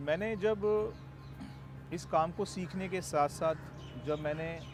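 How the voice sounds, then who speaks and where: With music in the background, the man's pitch shows ordinary variation. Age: 40s. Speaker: network marketing distributor. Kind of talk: testimony.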